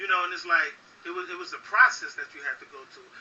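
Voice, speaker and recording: This man has an American accent. His pitch moves with ordinary variation. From Jersey City, New Jersey. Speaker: rapper. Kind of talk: interview. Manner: casual, repetitive with fillers.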